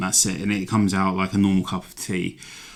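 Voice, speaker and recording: A man speaks with an English accent. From London, England. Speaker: hiking vlogger. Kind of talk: gear tutorial. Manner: casual, rambling with fillers.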